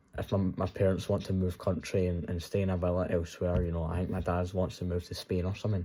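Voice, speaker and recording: A man's voice has a very deep, low pitch and a dark, mellow tone. He moves at a fairly quick pace. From Scotland. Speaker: trading content creator. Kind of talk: casual vlog monologue. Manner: animated.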